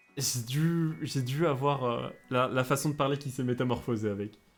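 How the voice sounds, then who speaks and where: In a slight southern French accent, a man at medium pitch speaks at a very slow pace with long, frequent pauses and ordinary pitch variation, on a very clean recording with a silent background. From France, Bordeaux. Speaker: Japanese teacher, streamer. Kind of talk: live-stream lesson. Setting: live stream. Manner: hesitant, many fillers.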